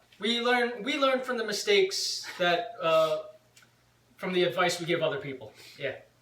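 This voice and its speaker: A loud man with a high pitch and lively intonation at a moderate pace, amid noticeable background noise and audible room echo. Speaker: vlogger and punk rock band member. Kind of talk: casual chat.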